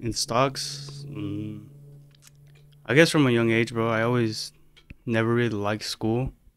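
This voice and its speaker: Fairly slow, fairly even speech in an American accent, with long, frequent pauses and music in the background. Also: man, medium pitch for a man. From Arizona, Phoenix. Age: 20s. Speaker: podcast guest. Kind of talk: casual chat.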